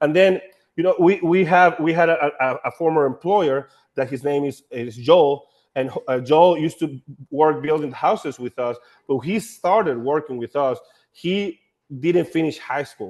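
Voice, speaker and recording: With a Honduran accent, a man speaks at a moderate pace with a fairly high pitch and ordinary pitch variation. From Honduras. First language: Spanish. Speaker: nonprofit staff running a house-building program. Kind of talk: panel discussion. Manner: halting, with many repeated words.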